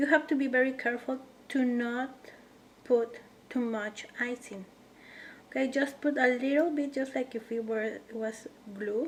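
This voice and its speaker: A woman with a non-native accent speaks at high pitch and fairly even intonation. Her pace is moderate, with long, frequent pauses. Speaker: cookie decorating instructor. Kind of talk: tutorial. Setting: home kitchen.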